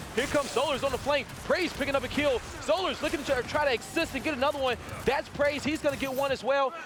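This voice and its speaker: Man with an extremely high pitch, a very fast pace and an animated tone, over noticeable background noise. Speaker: esports commentator. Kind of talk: live commentary.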